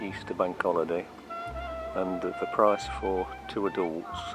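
Clear music can be heard in the background. Over it, a man talks. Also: dry sound with no echo. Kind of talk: casual tour narration. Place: open country. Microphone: phone near.

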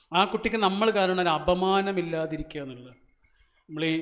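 This man's voice sits at a high pitch, with fairly even intonation. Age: 40s. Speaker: motivational speaker. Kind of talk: motivational speech. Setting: stage with audience.

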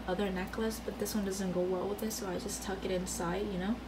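Noticeable background noise sits behind the speaker. She is a woman whose intonation is flat and monotone. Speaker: vlogger. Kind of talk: casual vlog chat. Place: home room. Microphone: phone near.

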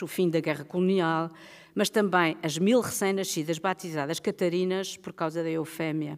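Set against a quiet background, a woman uses a normal speaking voice, fairly low in pitch, at a moderate pace. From Portugal. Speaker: writer and book editor; writer on festival panel. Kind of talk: prepared speech read aloud. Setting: stage with audience. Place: stage. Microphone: podium.

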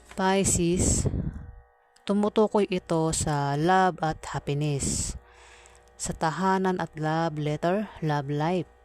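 The intonation stays fairly even at a very slow pace. The sound is dry and close, with no echo. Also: woman, fairly low pitch for a woman. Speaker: tarot card reader. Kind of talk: tarot reading. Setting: noisy home surroundings. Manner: halting.

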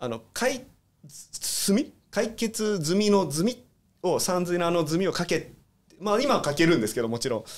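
This man talks at a moderate pace in a high pitch, his voice swinging very widely up and down. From Hong Kong. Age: 40s. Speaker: guest. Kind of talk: casual interview.

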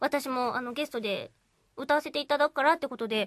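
A woman talks at a fairly quick pace in a high pitch with ordinary pitch variation. The sound is dry with no echo, over light background noise. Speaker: voice actor. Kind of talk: radio talk show conversation. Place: studio. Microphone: studio mic.

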